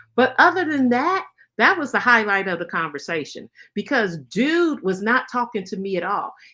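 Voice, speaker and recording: A woman speaks with a bright, sharp tone at a fairly high pitch. Her pitch swings very widely. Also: moderate pace. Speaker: grief podcast host. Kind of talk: personal storytelling. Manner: casual, conversational.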